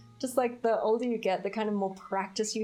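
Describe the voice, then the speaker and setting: A woman with an Australian accent talks over music in the background. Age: 20s. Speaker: streamer. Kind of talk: casual chat. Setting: live stream. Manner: chatty, animated.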